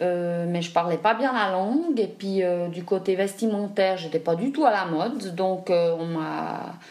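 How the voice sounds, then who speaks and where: Against noticeable background noise, a woman talks at a fairly slow pace in a medium pitch with ordinary pitch variation. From Switzerland, raised partly in Africa. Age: 40s. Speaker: adoptee interviewee. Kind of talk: testimony. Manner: halting.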